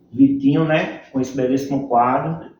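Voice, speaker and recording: A man's fairly high-pitched voice with a dark, mellow tone and audible room echo. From Northeast Brazil (Campina Grande, Paraíba; also Fortaleza). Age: 40s. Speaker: capoeira instructor. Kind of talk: interview.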